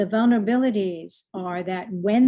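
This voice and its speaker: A woman with a slight Boston accent, medium pitch and fairly even intonation. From US Northeast, Boston. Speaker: leadership coach and speaker. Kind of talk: online presentation. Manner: fast.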